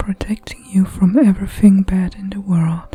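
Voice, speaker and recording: Music plays in the background as a woman speaks. Her medium-pitched voice stays monotone and flat. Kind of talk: spiritual poetry reading. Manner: soft-spoken.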